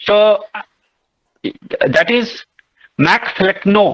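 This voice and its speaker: This man's high-pitched voice has a bright, sharp tone and moves at a very slow pace. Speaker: literature teacher. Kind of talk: online lecture. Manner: loud. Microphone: voice breaking from network issues.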